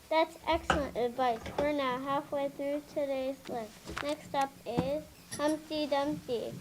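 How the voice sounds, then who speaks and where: A female-sounding put-on character voice, high-pitched for a woman, at a fairly slow pace over clear background noise. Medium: stage play. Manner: patient, gentle.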